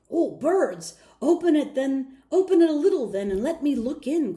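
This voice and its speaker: A woman's high-pitched, put-on character voice. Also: moderate pace. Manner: growling, curious.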